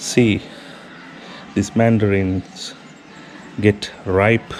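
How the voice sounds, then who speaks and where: Amid noticeable background noise, a man in a Sri Lankan accent speaks at a very slow pace, his fairly low voice keeping a fairly even intonation. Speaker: travel and food vlogger. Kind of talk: casual vlog talk.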